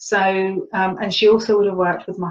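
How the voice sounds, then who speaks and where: A woman speaks at a fairly quick pace with a somewhat breathy voice. Her intonation stays fairly even. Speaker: spiritual teacher and healer. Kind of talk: webinar talk.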